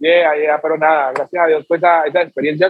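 A man uses a plain, everyday voice at a fairly high pitch. He keeps a moderate pace. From Colombia, Chocó (Pacific coast). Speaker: music producer and singer. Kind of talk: casual interview.

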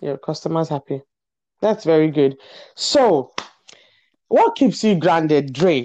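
A woman's voice sits at a very deep, low pitch with a dark, mellow tone and lively intonation. Long, frequent pauses break her speech against a quiet background. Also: fairly slow pace. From Nigeria. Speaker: podcast host. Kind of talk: casual interview chat.

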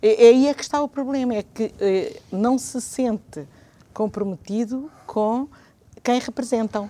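The speech comes in a European Portuguese accent with a dark, mellow tone. The pace is very slow, with ordinary pitch variation. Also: woman, high pitch for a woman. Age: 60s. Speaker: retired teacher and civic association member. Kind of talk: TV/radio talk show interview.

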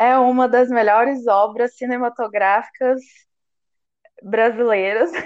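Her high-pitched voice moves at a very slow pace as the woman speaks. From Minas Gerais, Brazil (Uberlândia). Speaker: podcast co-host. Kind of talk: casual chat.

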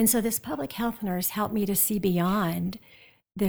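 On a very clean recording with a silent background, a woman speaks at a medium pitch in a somewhat breathy voice with fairly even intonation. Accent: American. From US Midwest, South Dakota. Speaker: nursing professor. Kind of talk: interview.

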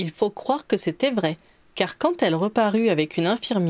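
The voice reads naturally, its intonation lively throughout.

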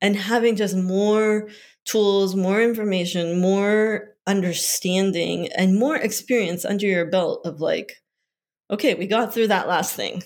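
Speaking fairly slowly, a woman with a plain, everyday voice keeps a medium pitch and fairly even intonation. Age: 40s. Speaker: children's book author and editor. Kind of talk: casual chat.

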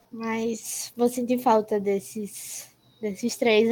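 The delivery is monotone, with flat intonation. It moves at a very slow pace. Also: woman. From Brazil. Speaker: podcast co-host, university student. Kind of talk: casual chat.

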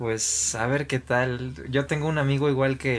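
At a fairly slow pace, a man with a medium pitch speaks in fairly even intonation over noticeable background noise. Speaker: podcast host. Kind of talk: casual chat.

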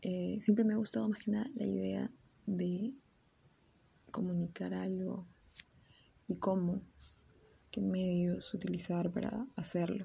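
Fairly slow speech from a woman, broken by long, frequent pauses. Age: 20s. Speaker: university student and podcaster. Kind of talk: casual solo podcast monologue. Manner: hesitant, with fillers and repetitions.

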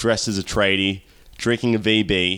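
A man with an Australian accent, fairly low in pitch, fairly slow and monotone with flat intonation, on a very clean recording with a silent background. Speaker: podcast host and pro wrestler. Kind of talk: casual chat.

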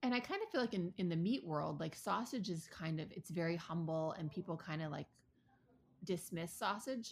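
This woman has a fairly low pitch and a somewhat breathy voice, with an American accent. She speaks at a moderate pace with ordinary pitch variation. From Ann Arbor, Michigan. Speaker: podcast co-host, former chef. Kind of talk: casual chat.

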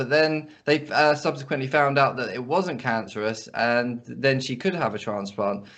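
In a plain, everyday voice, a man with a fairly high pitch speaks at a moderate pace with lively intonation. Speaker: podcast host. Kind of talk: casual interview chat. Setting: video or phone call.

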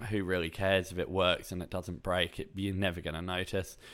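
A man with a very deep, low pitch. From England. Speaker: podcast host, boating instructor. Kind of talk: solo podcast monologue, tutorial. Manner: conversational, relaxed.

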